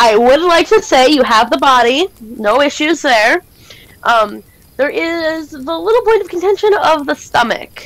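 A woman's high voice with very wide pitch swings, a fairly slow pace and a dry sound with no echo. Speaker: game master. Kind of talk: tabletop role-play narration. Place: home room. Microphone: headset.

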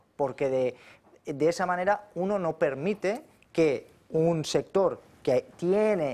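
Lively intonation marks this speaker. He is a man whose voice sits at a high pitch. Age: 40s. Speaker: economist and politician; politician. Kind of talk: political talk show debate. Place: studio. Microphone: lapel.

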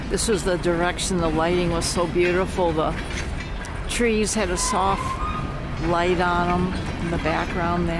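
The speech moves at a fairly slow pace, broken by long, frequent pauses. The sound is dry with no echo, but loud background noise runs underneath. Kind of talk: casual commentary. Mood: relaxed, admiring. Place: open country. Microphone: phone near.

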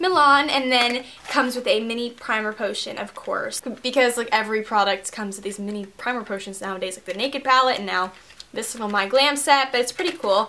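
Over noticeable background noise, a woman talks at a fairly quick pace with a high pitch and ordinary pitch variation. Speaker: beauty vlogger. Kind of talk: casual vlog haul, chatty. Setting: filming at home, in bedroom. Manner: chatty, rambling, filler words.

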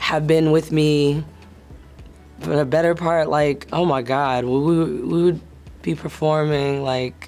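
A woman with an American accent, a very deep, low pitch, monotone, flat intonation and a fairly slow pace, over music in the background. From Atlanta, Georgia, US. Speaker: soul singer. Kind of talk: interview answer. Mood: reflective, warm. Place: studio.

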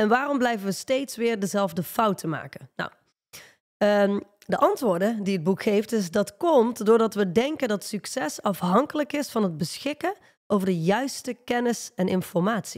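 A woman speaks at a moderate pace with lively intonation and a fairly high pitch. The background is quiet. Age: 30s. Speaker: leadership coach; podcast co-host. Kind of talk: casual chat. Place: studio. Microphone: studio mic.

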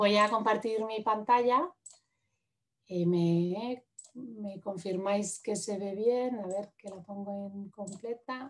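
At a very slow pace, a woman with a medium pitch speaks in fairly even intonation while her loudness swings widely. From Madrid, Spain; Spain. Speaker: urban planner and architect; presenter. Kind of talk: lecture; webinar presentation. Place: home room. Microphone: video call.

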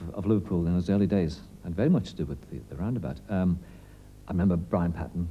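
Very deep and low, the man's voice moves at a fairly quick pace with ordinary pitch variation. Light background noise can be heard. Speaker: interviewee. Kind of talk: interview answer. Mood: reflective, warmly reminiscing. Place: studio.

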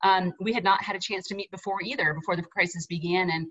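A woman's fairly quick speech with ordinary pitch variation, against a quiet background. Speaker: association president hosting town hall. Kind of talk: moderator introduction. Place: home room. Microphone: video call.

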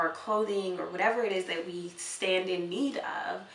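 Audible room echo surrounds a woman whose intonation stays fairly even. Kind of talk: interview answer. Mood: earnest, heartfelt. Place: home room.

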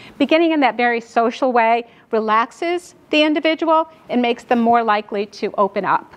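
Lively intonation over noticeable background noise. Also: woman. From New York. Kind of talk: lecture. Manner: fast.

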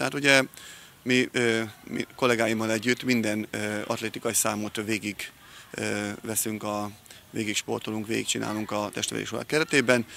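A man speaks in a monotone, flat delivery at a fairly low pitch. The sound is dry with no echo, over light background noise. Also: moderate pace. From Hungary. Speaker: PE teacher and coach. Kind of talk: interview. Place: street. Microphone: handheld.

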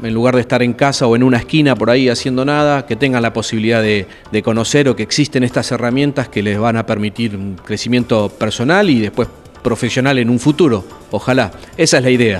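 A man talks at a very fast pace in a Rioplatense accent with ordinary pitch variation. Faint music plays in the background. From Argentina, Buenos Aires area; Argentina. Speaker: radio announcer and workshop teacher; radio announcer running a workshop. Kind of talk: interview. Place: hall. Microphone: handheld.

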